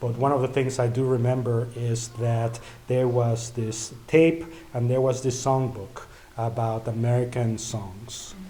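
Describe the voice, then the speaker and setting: A man with a Spanish accent at medium pitch, fairly even intonation, and audible room echo. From Mexico (Mexico City). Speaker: event organizer and emcee. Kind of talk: event speech. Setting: church event with audience.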